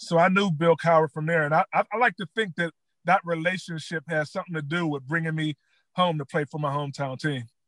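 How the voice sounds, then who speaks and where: In a dry, close recording with no echo, a man with a fairly high pitch speaks at a very fast pace. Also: quiet background. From Pittsburgh area. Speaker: former NFL player. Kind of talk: interview. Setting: in a car.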